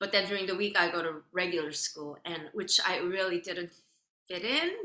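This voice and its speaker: With a Korean accent, a woman of fairly low pitch talks at a moderate pace and with fairly even intonation. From South Korea. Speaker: violin soloist. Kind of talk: interview.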